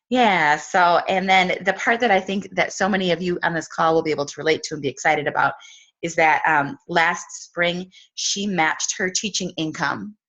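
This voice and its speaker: Her voice carries a Wisconsin accent, fairly low in pitch with ordinary pitch variation. This woman speaks at a moderate pace against a quiet background. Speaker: team leader. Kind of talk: casual introduction on video call. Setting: video call.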